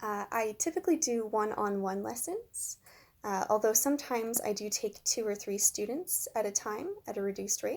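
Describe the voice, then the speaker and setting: An ordinary speaking voice from a woman with a Canadian accent, fairly high in pitch, on a very clean recording with a silent background. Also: ordinary pitch variation, moderate pace. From Canada, Ontario (Kitchener). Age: 20s. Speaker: English teacher. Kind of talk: self-introduction video interview.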